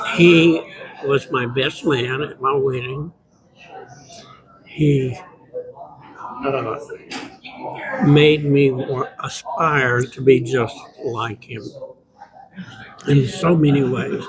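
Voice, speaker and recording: Someone with an American accent speaks at a very slow pace with long, frequent pauses. The pitch varies in an ordinary way, over noticeable background noise. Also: man, fairly high pitch for a man. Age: 60s. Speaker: former music student. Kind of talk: interview testimonial.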